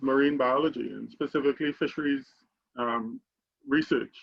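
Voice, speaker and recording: Someone with a Trinidadian accent speaks at a moderate pace with ordinary pitch variation. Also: man. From Trinidad and Tobago. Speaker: alumni panelist, tech CEO. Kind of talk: panel discussion.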